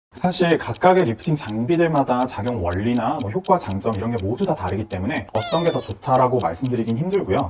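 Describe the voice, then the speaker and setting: At a medium pitch, a man talks at a fairly quick pace with hardly any pauses. His pitch swings very widely over noticeable background noise. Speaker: dermatology clinic doctor. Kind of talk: Q&A explainer video.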